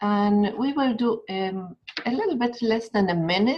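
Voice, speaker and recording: In an Argentine accent, a woman speaks very slowly at a medium pitch, sounding somewhat breathy. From Argentina. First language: Spanish. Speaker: educator. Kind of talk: webinar talk; guided meditation.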